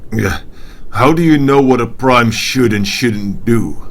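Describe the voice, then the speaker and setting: Using a put-on character voice, a man speaks fairly slowly at medium pitch over clear background noise. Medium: machinima. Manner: blunt, gruff.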